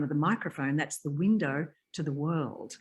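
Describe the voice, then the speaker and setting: Quiet surroundings behind a woman speaking in a very deep, low register. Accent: Australian. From Tasmania and north Queensland, Australia. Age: 70s. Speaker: voiceover artist. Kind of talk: interview.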